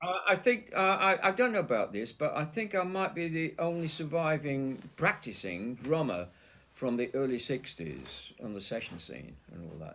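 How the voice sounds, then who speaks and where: On a very clean recording with a silent background, a man with a Yorkshire accent speaks at a moderate pace with hardly any pauses. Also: big swings in loudness. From Leeds, Yorkshire. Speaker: session drummer. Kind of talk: interview.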